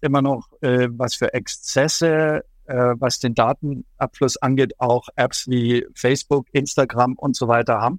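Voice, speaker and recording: A man's medium-pitched voice at a very slow pace, dry and close with no echo. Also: very clean recording, silent background. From Germany, Allgäu (Bavarian Swabia). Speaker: journalist and China expert. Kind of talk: interview. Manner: hesitant with frequent fillers.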